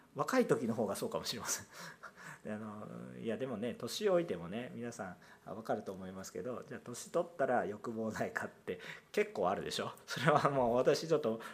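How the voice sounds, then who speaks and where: Audible room echo surrounds a man who talks at a fairly quick pace with big swings in loudness. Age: 30s. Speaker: pastor. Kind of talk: sermon.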